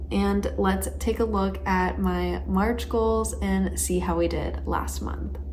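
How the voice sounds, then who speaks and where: Soft-spoken, a woman talks at a very slow pace in a very deep, low pitch. Her intonation is fairly even, and there is noticeable background noise. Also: hardly any pauses. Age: 20s. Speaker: planning and self-improvement vlogger. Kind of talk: casual talk to camera. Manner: soft-spoken, calm, monotone.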